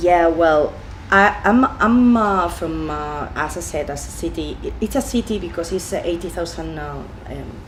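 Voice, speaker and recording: A woman with a Spanish accent at a moderate pace, amid audible room echo. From Spain, Valencia region. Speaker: deli owner. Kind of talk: interview. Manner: halting, many fillers.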